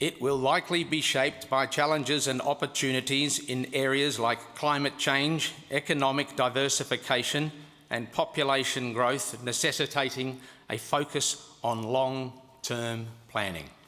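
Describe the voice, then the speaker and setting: A man puts on a robotic character voice at a medium pitch. He keeps a moderate pace. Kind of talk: formal, neutral.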